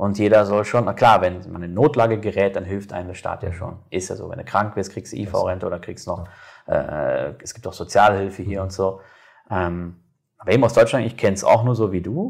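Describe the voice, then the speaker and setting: At a fairly quick pace, a man with a fairly low pitch talks in a plain, everyday voice with ordinary pitch variation. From Germany. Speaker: podcast host. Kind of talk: casual interview. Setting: on camera.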